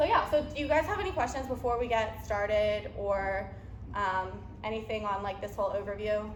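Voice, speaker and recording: A woman with a fairly high pitch and ordinary pitch variation speaks at a moderate pace, leaving long, frequent pauses. Noticeable background noise and audible room echo surround her voice. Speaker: nutrition coach. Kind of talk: seminar talk.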